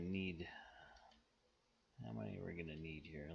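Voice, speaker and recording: Lively in intonation, a man's bright, sharp tone carries over audible room echo. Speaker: strategy game YouTuber. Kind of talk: gameplay commentary. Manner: sometimes mumbling; deliberately clear speech.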